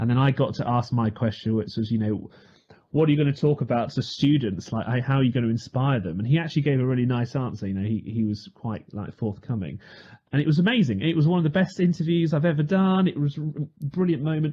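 A somewhat breathy man's voice at medium pitch, very fast and with lively intonation. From United Kingdom. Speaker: radio news reader. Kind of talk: podcast anecdote.

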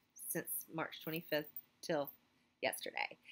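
A woman with an American accent talks at a moderate pace in a fairly low voice. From US South. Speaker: teacher and clothing retailer vlogger. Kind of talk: casual vlog talk to camera. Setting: school office. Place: classroom. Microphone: phone near.

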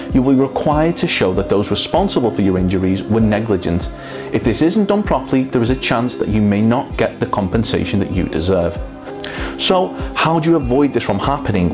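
Clear music plays in the background. A man talks at a fairly quick pace in a fairly low voice. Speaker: presenter. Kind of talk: scripted promotional explainer. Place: studio. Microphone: lapel.

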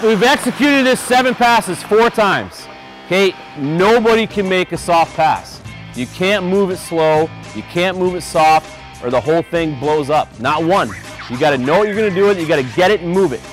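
With clear music playing behind him, a man talks at a fairly quick pace in a dry sound with no echo. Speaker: hockey head coach. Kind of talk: coaching instructions to players. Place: stadium. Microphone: lapel.

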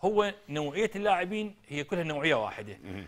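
There's vocal fry as a man speaks at a moderate pace with very wide pitch swings. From Iraq. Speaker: football coach and former player; football coach. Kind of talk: TV interview. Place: studio.

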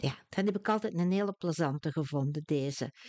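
In a Flemish accent, a woman with a very deep, low pitch speaks at a fairly slow pace with lively intonation, the sound dry and close with no echo over a quiet background. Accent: Flemish Dutch. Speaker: language teacher. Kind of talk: tutorial.

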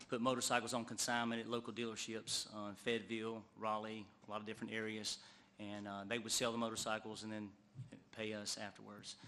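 A man's fairly low, bright and sharp voice with an American accent, monotone and flat, at a fairly quick pace, with audible room echo. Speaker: motorcycle dealer. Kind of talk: public testimony. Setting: council meeting. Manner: halting, many fillers.

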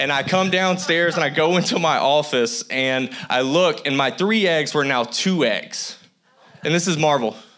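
This man's fairly high pitch shows ordinary variation, and he keeps a moderate pace with very even loudness. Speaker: guest preacher. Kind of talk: sermon. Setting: church with congregation. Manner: animated. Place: church. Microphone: handheld.

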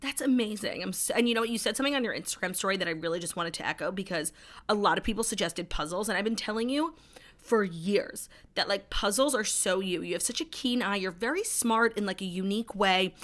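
A woman's very fast delivery with ordinary pitch variation. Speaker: podcast co-host. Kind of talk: casual chat. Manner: fast talker. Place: home room. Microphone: studio mic.

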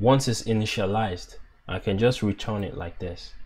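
A man talks with a fairly low pitch and fairly even intonation. His voice is somewhat breathy. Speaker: app developer. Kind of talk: coding tutorial narration.

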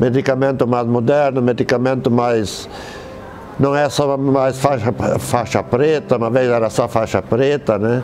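Light background noise sits behind a man talking at a fairly slow pace. His medium-pitched voice is monotone and flat, with very even loudness. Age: 70s. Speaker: hospital psychiatry outpatient. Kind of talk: patient testimonial interview. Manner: hesitant, conversational. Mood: calm, grateful. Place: garden. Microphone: lapel.

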